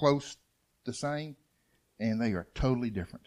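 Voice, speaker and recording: Lively intonation from a man in a Southern US accent. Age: 50s. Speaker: churchgoer, father of eight. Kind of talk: testimony. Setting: church.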